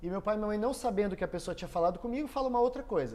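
A man's dark, mellow voice sits high in pitch with ordinary variation. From southern Brazil, Foz do Iguaçu, Paraná. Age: 30s. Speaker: entrepreneur and electrical engineer. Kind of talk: casual interview.

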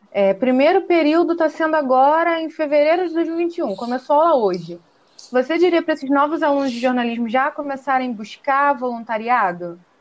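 A woman speaks with a high pitch at a fairly quick pace. Her pitch swings very widely. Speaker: podcast co-host, journalism student. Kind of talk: interview.

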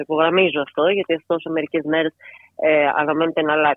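A woman is speaking. Her pace is fairly quick. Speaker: journalist. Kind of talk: radio interview.

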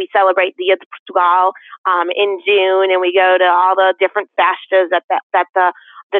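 A woman at medium pitch, monotone and flat in intonation, at a moderate pace with very even loudness. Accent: American. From Connecticut, West Hartford. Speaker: school board member. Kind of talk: interview.

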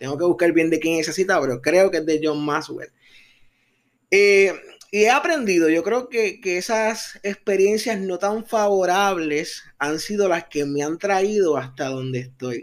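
In a very clean recording with a silent background, a man with a high pitch speaks at a fairly slow pace with lively intonation. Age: 30s. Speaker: podcast host. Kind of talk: motivational talk. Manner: animated.

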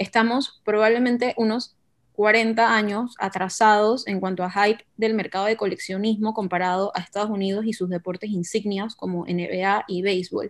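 Here is a woman with an ordinary speaking voice at a medium pitch. She keeps a moderate pace and fairly even intonation. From Panama. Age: 20s. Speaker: marketing business owner, football fan and card collector. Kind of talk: casual podcast conversation.

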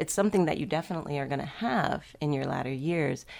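A woman speaks in an ordinary speaking voice with an American accent, at a fairly quick pace. Her intonation is lively, and the recording is very clean with a silent background. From Miami, Florida. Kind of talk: radio interview.

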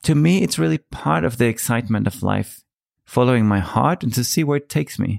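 Speaking in a Danish accent, a man uses medium pitch and lively intonation at a moderate pace on a very clean recording with a silent background. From Denmark. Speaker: podcast host. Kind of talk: monologue.

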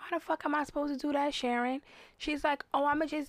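A woman's high-pitched, animated voice at a fairly quick pace. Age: 30s. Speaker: hair salon owner. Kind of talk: casual chat.

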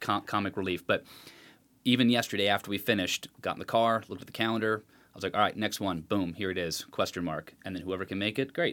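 In a very clean recording with a silent background, a man with an American accent speaks very fast at a fairly low pitch, with ordinary pitch variation. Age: 30s. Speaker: podcast guest. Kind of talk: casual chat. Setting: home studio.

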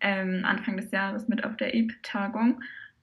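In a normal speaking voice, a woman talks at a fairly slow pace with medium pitch and fairly even intonation. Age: 20s. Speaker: brass choir member and social media volunteer. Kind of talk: podcast interview.

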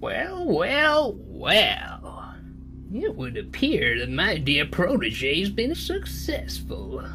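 A put-on character voice at a very slow pace, with clear music in the background. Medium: actual play. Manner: cackling, sly.

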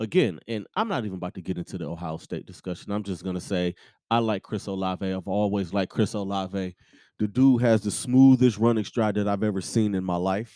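Against a quiet background, a man speaks at a fairly quick pace in a fairly low pitch, his tone dark and mellow and his intonation fairly even. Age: 30s. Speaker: sports podcaster. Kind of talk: casual solo sports talk.

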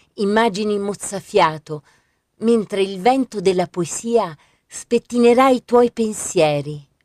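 A woman speaks at a very slow pace, the sound dry and close with no echo. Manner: slow, hushed and dreamy, with soft lyrical cadence and pauses between images.

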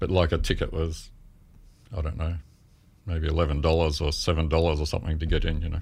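With an Australian accent, a man with a very deep, low pitch and a somewhat breathy voice talks at a very fast pace in a monotone, flat intonation, broken by long, frequent pauses, with audible room echo around him. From Melbourne, Australia. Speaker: photographer. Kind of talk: interview.

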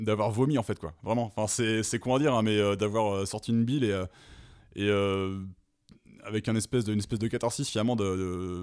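In a very clean recording with a silent background, a man uses an ordinary speaking voice, fairly low in pitch, fairly quick, with fairly even intonation. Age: 30s. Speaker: metal musician. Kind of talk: casual chat.

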